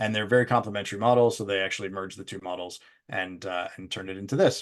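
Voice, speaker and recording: Someone with a Canadian accent speaks at a very fast pace over a quiet background. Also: man. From Canada. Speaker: business executive presenting on training impact. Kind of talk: webinar presentation. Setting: live virtual event.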